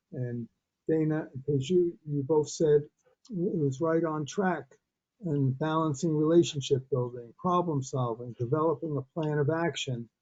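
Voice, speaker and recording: A Massachusetts accent at a moderate pace, with ordinary pitch variation. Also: man, fairly high pitch for a man. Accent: sounds like a Massachusetts. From Brooklyn, New York. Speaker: webinar participant. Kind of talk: audience comment.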